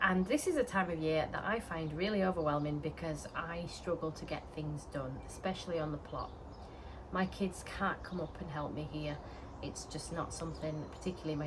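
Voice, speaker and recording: A woman with a Yorkshire accent speaks at a moderate pace, her voice very deep and low with fairly even intonation. Room echo is audible, and there is noticeable background noise. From Yorkshire, northern England. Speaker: allotment gardening vlogger. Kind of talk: casual vlog talk to camera. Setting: outdoors on allotment. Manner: chatty with frequent fillers.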